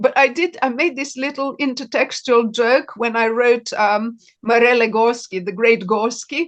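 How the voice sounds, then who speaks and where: In a Serbian accent, a woman speaks with a high pitch, ordinary pitch variation and a moderate pace against a quiet background. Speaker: novelist. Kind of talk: interview.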